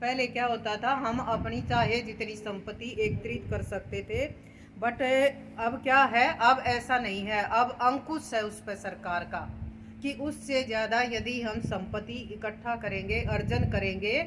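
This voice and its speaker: A woman with a fairly high pitch and vocal fry speaks with fairly even intonation in a room with audible echo. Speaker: lecturer. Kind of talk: lecture. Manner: loud.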